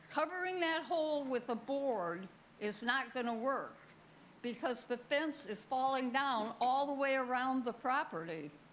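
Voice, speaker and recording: Audible room echo surrounds a woman's high pitch. She speaks at a fairly slow pace with lively intonation. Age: 80s+. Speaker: resident speaking at town meeting. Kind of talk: public comment at council meeting. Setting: town hall meeting with audience.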